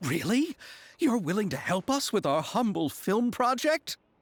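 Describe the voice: Using a put-on character voice, a man speaks fairly slowly at a high pitch with big pitch swings.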